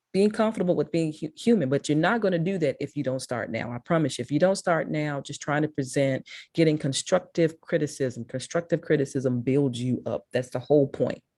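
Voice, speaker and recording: A woman with a strong Mississippi accent, a very deep, low pitch, a dark, mellow tone, lively intonation, a fairly quick pace and hardly any pauses. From Memphis, Tennessee. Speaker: public speaking consultant. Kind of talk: talk to a school class.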